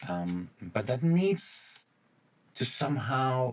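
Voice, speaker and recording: A man is the speaker. His speech carries a non-native accent. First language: not English. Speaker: gaming YouTuber. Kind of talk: gameplay commentary. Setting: home recording late at night. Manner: halting, many fillers.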